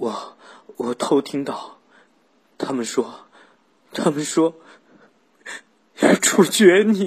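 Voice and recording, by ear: Slowly and with long, frequent pauses, a man does a put-on character voice at a fairly high pitch with a slightly husky edge and lively intonation.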